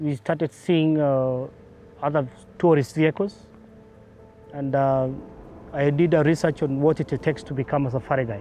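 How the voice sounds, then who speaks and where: A man with a fairly high-pitched voice speaks over music in the background. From Kenya, Laikipia (Doldol). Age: 30s. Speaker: safari guide. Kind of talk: documentary interview. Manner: halting, with many fillers.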